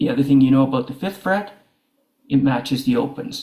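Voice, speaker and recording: Somewhat breathy and fairly high-pitched, a man speaks with a dark, mellow tone and lively intonation. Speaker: guitar teacher. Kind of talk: tutorial.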